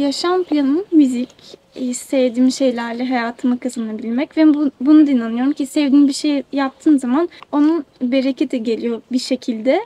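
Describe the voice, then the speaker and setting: Heard with noticeable background noise, a woman talks at a moderate pace in a high-pitched voice with fairly even intonation, the sound dry and close with no echo. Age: 20s. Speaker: musician. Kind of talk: interview. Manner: hesitant.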